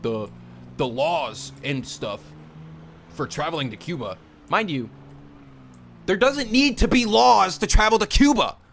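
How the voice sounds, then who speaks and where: A loud man's voice with very wide pitch swings. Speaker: live streamer. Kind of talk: casual live stream rant. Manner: loud, animated. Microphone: very close to the mic.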